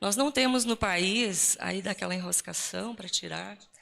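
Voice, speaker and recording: Ordinary pitch variation and a fairly slow pace from a woman at a medium pitch. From Rio Grande do Sul, southern Brazil. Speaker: Lutheran pastor. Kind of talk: talk at ecumenical church event. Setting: live event with audience and slides. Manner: casual, joking.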